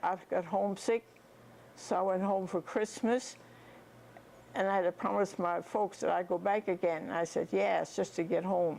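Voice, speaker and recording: A woman talks at a moderate pace and medium pitch with fairly even intonation. Her loudness stays very even and her voice shows vocal fry. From North Dakota, USA. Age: 80s+. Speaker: retired nurse. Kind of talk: life story reminiscence. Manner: casual, conversational.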